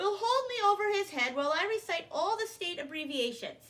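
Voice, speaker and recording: A woman performs a squeaky, put-on character voice at an extremely high pitch. She talks at a fairly quick pace with very wide pitch swings. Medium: read story. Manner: chatty, rambling.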